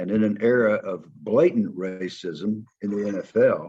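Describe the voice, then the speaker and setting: Speaking with a Southern US accent, a man keeps his pitch fairly low. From US South. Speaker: former football player and coach. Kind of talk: interview conversation.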